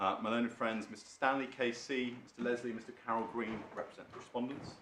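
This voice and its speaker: A man's medium-pitched, flat, monotone voice in an English accent at a very fast pace, with audible room echo. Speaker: barrister. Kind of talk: legal submissions in court. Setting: courtroom. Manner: quiet; formal.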